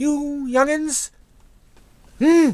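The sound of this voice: Using a put-on character voice, a man speaks with extremely high pitch, a slightly mellow tone and fairly even intonation at a very slow pace.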